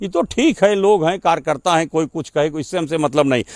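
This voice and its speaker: This man's voice sits fairly high and swings very widely in pitch. He talks at a moderate pace in a dry, close sound with no echo. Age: 60s. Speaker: local politician. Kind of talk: interview. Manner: assertive.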